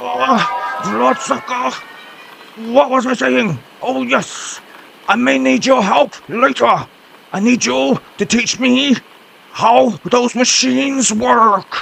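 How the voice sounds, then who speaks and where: Using a cartoonish character voice, a man speaks high in pitch with very wide pitch swings. He goes at a very slow pace, with long, frequent pauses. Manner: gruff, scolding.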